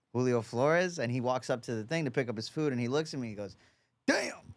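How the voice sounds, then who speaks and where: Someone with a New York accent is heard on a very clean recording with a silent background. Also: man. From New York, Long Island (Oceanside). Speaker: boxing coach. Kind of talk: casual chat. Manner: casual, halting with repetitions.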